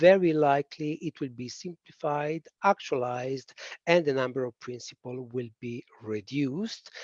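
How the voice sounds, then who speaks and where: The dry, close sound has no echo as a man with a fairly high voice talks at a moderate pace, showing ordinary pitch variation and big swings in loudness. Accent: strong Italian. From Italy. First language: Italian. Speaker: policy expert presenter. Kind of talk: webinar presentation. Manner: hesitant, many fillers.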